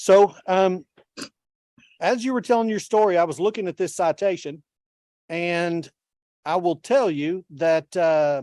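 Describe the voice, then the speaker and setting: A man with a Texan accent and a high pitch talks at a fairly slow pace with long, frequent pauses, his tone dark and mellow, his pitch variation ordinary, and the sound dry and close with no echo. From Texas. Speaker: judge. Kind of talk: court hearing. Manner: casual.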